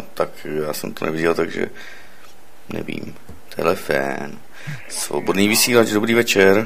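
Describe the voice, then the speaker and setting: Over noticeable background noise, a man with a very deep, low pitch and ordinary pitch variation talks at a fairly slow pace with long, frequent pauses. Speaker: radio host taking calls. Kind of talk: call-in radio show.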